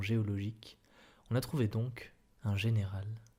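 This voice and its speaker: Soft-spoken and somewhat breathy, a man talks at a moderate pace with a dark, mellow tone, medium pitch and fairly even intonation. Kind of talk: soft-spoken ASMR reading of a short story. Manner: soft-spoken, murmured.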